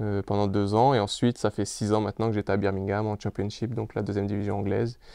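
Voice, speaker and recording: A very fast, flat monotone with a dark, mellow tone, dry and echo-free against a quiet background. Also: man. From France. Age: 30s. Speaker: professional footballer. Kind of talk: interview. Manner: halting, many fillers and repeats. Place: home room. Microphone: lapel.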